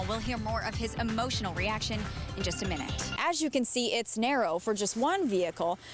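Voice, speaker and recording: Lively intonation at a fairly quick pace comes through over music in the background. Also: woman, fairly high pitch for a woman. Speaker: TV news reporter. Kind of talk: TV news report.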